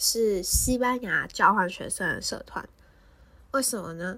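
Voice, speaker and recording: A woman talks very slowly. The recording is very clean and the background silent. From Taiwan, Taipei. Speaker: podcast host. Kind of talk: casual solo podcast talk.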